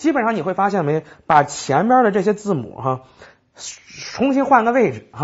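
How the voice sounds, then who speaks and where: A man is talking. Nothing but quiet lies behind him. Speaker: IELTS vocabulary teacher; language teacher. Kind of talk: recorded lecture. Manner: conversational with frequent fillers. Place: studio.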